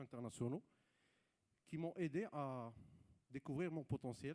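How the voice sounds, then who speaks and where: Speaking at a fairly slow pace, a man uses a fairly high pitch with ordinary variation. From Morocco, Rabat. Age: 30s. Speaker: entrepreneur. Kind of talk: panel talk. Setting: stage with audience. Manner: hesitant.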